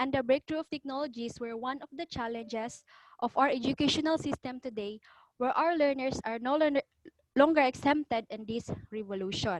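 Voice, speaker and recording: This woman has a high voice and talks fairly quickly, with ordinary pitch variation. The sound is dry and close, with no echo. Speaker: postgraduate student. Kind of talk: research proposal presentation. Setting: video call. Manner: quiet.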